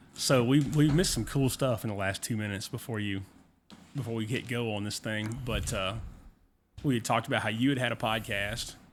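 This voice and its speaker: This man talks in a Southern US accent. He moves through his words at a fairly quick pace. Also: medium pitch for a man, ordinary pitch variation. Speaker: podcast host. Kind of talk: casual chat.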